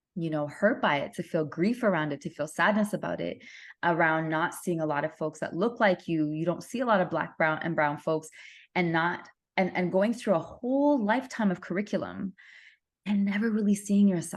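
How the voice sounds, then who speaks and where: With lively intonation and a fairly low pitch, this woman talks at a moderate pace in a normal speaking voice. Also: quiet background. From Canada. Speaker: guest, single mother. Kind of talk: interview conversation.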